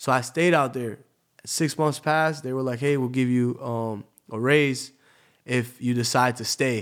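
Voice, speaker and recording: A man with an unremarkable speaking voice, fairly slow delivery and fairly even intonation. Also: medium pitch for a man. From Tampa, Florida. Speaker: DJ. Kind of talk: casual interview storytelling.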